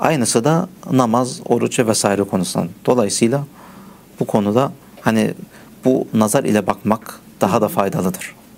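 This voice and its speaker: Over noticeable background noise, a man of medium pitch talks at a moderate pace with lively intonation, very even loudness, and long, frequent pauses. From Germany, Turkish family from Mersin. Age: 30s. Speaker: teacher of blind students, computer programmer. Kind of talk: interview. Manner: halting, many fillers.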